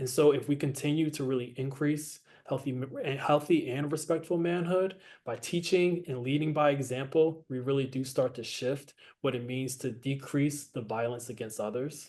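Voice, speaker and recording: With audible room echo, a man speaks at a fairly high pitch with fairly even intonation. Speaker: panelist presenting on healthy manhood. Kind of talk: conference presentation. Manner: fast.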